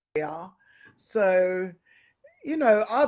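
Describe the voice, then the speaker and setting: A woman of medium pitch speaks with a London accent. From West London, England. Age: 50s. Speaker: retired sumo wrestler. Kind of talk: interview. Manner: halting.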